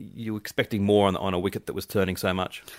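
A man with an Australian accent and a fairly low voice talks at a fairly quick pace. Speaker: cricket co-host. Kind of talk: casual chat.

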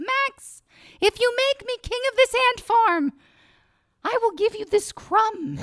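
A woman does a squeaky put-on character voice at an extremely high pitch, speaking at a fairly slow pace with long, frequent pauses. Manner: bargaining, scheming.

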